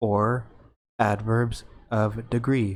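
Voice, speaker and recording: A man talks at a medium pitch with an American accent. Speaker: English teacher. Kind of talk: educational tutorial narration. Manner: slow, clear.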